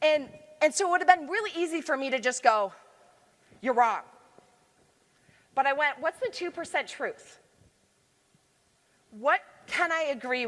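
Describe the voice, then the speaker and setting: A loud, animated woman with an American accent speaks at a moderate pace in a high pitch, her voice swinging very widely up and down. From Michigan, US. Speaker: leadership consultant and conference speaker. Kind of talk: conference talk. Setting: stage with audience.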